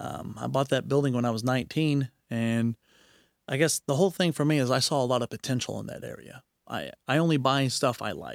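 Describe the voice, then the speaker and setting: A man with an American accent talks at a fairly quick pace and medium pitch. It is a plain, everyday voice in a very clean recording with a silent background. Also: ordinary pitch variation, dry, close sound with no echo. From Knoxville, Tennessee, then Oklahoma. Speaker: traveler and adventurer. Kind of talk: casual interview chat.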